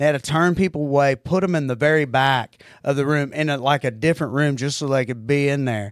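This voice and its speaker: In a very clean recording with a silent background and a dry, close sound with no echo, a man with a strong Oklahoma accent speaks at a fairly quick pace in a fairly high pitch and an animated tone. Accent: strong Southern-type Oklahoma. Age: 40s. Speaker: comedian. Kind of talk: casual chat. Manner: animated and crude.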